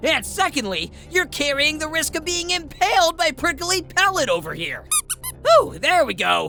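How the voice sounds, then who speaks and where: Cartoonish character voice at a moderate pace, with clear background noise. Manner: prim, fussy.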